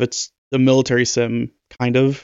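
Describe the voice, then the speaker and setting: An unremarkable speaking voice from a man, medium in pitch and fairly slow in pace. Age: 20s. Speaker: podcast co-host. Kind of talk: casual chat.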